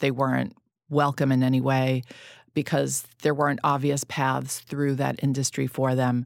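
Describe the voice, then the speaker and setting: A woman's very deep, low voice in a New York accent, flat and monotone, with very even loudness and a moderate pace. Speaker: magazine founder and podcast host. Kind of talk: casual interview chat.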